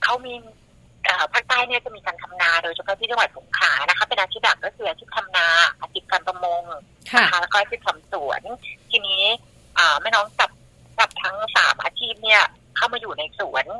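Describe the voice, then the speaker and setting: A woman uses a plain, everyday voice with ordinary pitch variation in a dry, close sound with no echo. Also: medium pitch for a woman. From southern Thailand, Songkhla. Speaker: mother running a sufficiency-economy farm and food stall. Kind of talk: casual interview.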